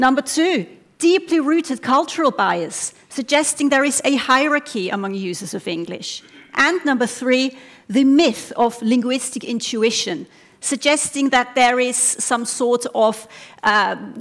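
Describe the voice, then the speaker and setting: A high-pitched woman with a non-native accent, lively intonation and a fairly slow pace. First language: not English. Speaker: doctoral researcher. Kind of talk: competition talk. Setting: stage with audience. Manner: animated.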